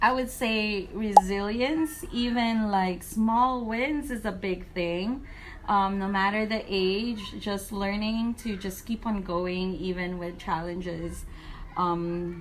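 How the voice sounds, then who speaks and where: In a room with audible echo, a woman speaks very slowly at a medium pitch, with ordinary pitch variation. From moved to Guam at age nine. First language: not English (English is third language). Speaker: first grade teacher. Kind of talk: interview.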